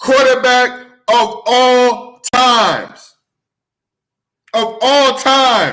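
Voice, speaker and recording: Raised, projected voice from a man with an extremely high pitch and an American accent. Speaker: sports show host. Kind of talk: sports talk show. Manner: loud; excited, animated.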